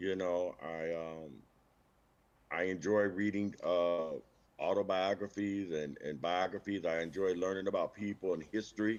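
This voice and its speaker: A man with an American accent and a very deep, low pitch, at a moderate pace with fairly even intonation. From Benton Harbor, Michigan, US Midwest. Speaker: teacher. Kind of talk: interview. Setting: livestream.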